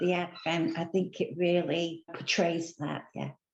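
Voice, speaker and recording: A woman speaks in a British accent. Her pitch is fairly low and her intonation is monotone and flat. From England. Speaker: church member. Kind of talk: interview.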